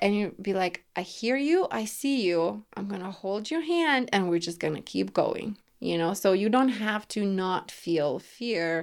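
A woman with a Lithuanian accent talks at a fairly slow pace and medium pitch, with lively intonation, in a very clean recording with a silent background. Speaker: women's empowerment coach. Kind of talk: casual interview. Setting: home studio, in person.

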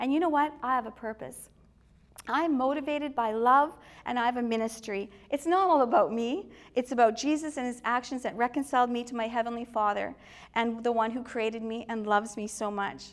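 A fairly quick pace with a Canadian accent. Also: woman, high pitch for a woman, ordinary pitch variation, very clean recording, silent background. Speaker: church speaker. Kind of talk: faith testimony. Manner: casual, hesitant with fillers.

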